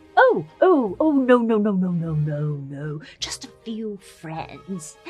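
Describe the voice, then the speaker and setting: Using a put-on character voice with an English accent, a female-sounding voice speaks very slowly at a medium pitch while faint music plays in the background. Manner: fussy, insistent.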